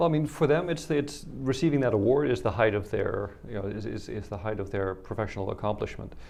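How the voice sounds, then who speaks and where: A man talks very fast at a medium pitch with a Dutch accent. His intonation is lively. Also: hardly any pauses. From Netherlands. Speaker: policy analyst, photo exhibition representative. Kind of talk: interview.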